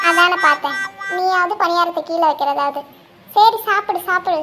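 In a cartoonish character voice, a woman speaks at an extremely high pitch. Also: moderate pace, fairly even intonation. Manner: sarcastic, teasing.

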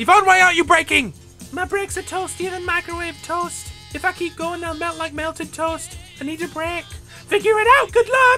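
Clear music plays behind a female-sounding, put-on character voice that is extremely high in pitch and moves at a moderate pace. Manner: hyper, silly, rambling.

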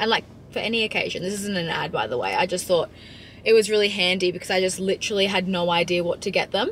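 In an Australian accent, a woman talks at a very fast pace with monotone, flat intonation, the sound dry with no echo and light background noise. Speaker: lifestyle vlogger; vlogger. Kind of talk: casual vlog. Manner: casual, filler-heavy. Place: car. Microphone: camera far.

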